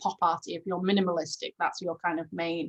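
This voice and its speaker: This woman speaks at a medium pitch. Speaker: online workshop presenter. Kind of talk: tutorial. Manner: hesitant, many fillers.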